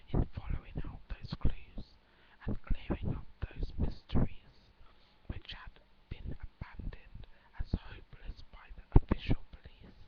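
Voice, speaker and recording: Someone whispers at a fairly slow pace. The loudness swings widely. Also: woman. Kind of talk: whispered story reading, relaxation. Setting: webcam recording at home. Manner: whispered, soft.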